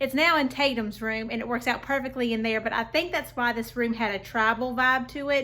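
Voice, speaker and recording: Her tone is bright and sharp, with a fairly high pitch. This woman speaks at a fairly quick pace with fairly even intonation. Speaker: home decor vlogger. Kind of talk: casual vlog tutorial.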